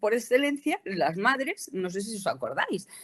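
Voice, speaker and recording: The pace is fairly slow. The intonation is lively. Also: woman. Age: 60s. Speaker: cosmetics company educator. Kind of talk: presentation lecture. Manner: halting, many fillers.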